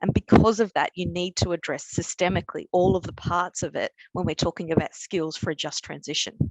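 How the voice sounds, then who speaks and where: Moderate pace, with a dry, close sound and no echo. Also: woman. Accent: Australian. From Australia. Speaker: energy company skills manager. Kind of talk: webinar talk. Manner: halting, with repetitions.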